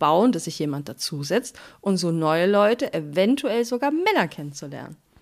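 At a fairly slow pace, a woman speaks in an ordinary speaking voice with a medium pitch, in a very clean recording with a silent background. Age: 30s. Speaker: podcast co-host. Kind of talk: casual chat.

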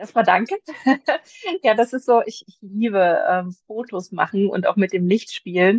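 A woman with an ordinary speaking voice, medium pitch and ordinary pitch variation, at a fairly slow pace with big swings in loudness. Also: dry, close sound with no echo. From Germany, Magdeburg. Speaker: publisher's blogger manager and video content creator. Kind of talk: casual interview.

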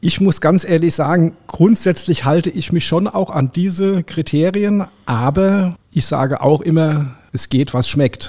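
With a dark, mellow tone and a high pitch, a man talks fairly slowly with ordinary pitch variation and hardly any pauses. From Rheinhessen, Germany. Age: 60s. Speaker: caterer and chef. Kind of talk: interview.

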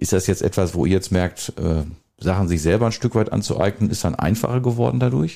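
Talking at a fairly quick pace, a man uses a very deep, low pitch and a dark, mellow tone, with vocal fry, lively intonation and very even loudness. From Westphalia, Germany (Soest district village). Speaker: mayor hosting local podcast. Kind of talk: casual chat. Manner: hesitant, many fillers.

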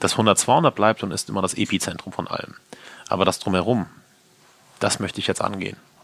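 Noticeable background noise sits behind a man with a fairly low pitch. He speaks at a fairly quick pace with fairly even intonation. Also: long, frequent pauses. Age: 30s. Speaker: chef and restaurant owner. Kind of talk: interview. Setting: in his restaurant.

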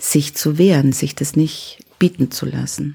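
Her voice has a dark, mellow tone and a very deep, low pitch for a woman. The woman's pitch moves with ordinary variation. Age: 60s. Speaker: self-defence trainer and trauma therapist. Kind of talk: interview.

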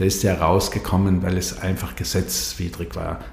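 A man's fairly low voice at a fairly slow pace, with audible room echo and noticeable background noise. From South Tyrol, Brixen. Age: 60s. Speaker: energy association director. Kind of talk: interview. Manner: halting.

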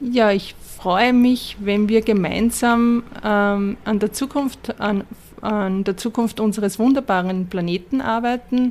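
A woman talks very slowly in a fairly high voice with fairly even intonation. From Upper Austria. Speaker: sustainability consultant. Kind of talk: interview. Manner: halting.

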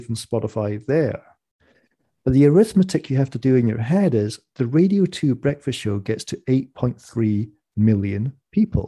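A man speaks at a fairly slow pace with lively intonation. His dark, mellow tone is somewhat breathy. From Scottish Borders. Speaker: economist and author. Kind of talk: interview. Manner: animated.

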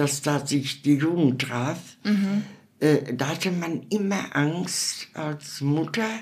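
A very slow, very deep and low female voice. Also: ordinary pitch variation. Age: 80s+. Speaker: elderly interviewee. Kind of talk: interview. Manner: halting.

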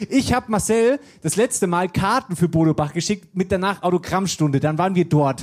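Speaking with a Hessian accent, a man has a high pitch and an animated tone. He moves at a fairly quick pace with ordinary pitch variation and very even loudness. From Germany, Wetterau region of Hesse. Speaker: podcast host. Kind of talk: live show before audience. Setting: stage with audience.

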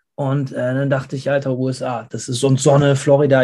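The man's voice sits at medium pitch. Its tone is dark and mellow, and somewhat breathy. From Germany. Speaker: metal band singer. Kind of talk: interview. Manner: casual, with English interjections.

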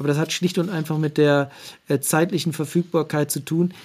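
A man speaks at a fairly high pitch with monotone, flat intonation. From eastern Germany (Saxony-Anhalt, Harz). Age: 40s. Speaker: sports official, communications director. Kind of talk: interview. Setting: remote call. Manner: hesitant with filler sounds.

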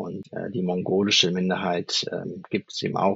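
At a moderate pace, a man is talking. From Germany. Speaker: leadership coach. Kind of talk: interview. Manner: hesitant, many fillers.

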